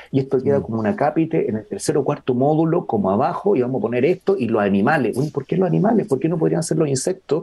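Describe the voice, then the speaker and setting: Talking very fast at very even loudness, a man with a fairly high pitch and a dark, mellow tone uses vocal fry and very wide pitch swings. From northern Chile, Iquique. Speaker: biologist and sustainability researcher. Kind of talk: conversational interview. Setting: outdoors in a garden.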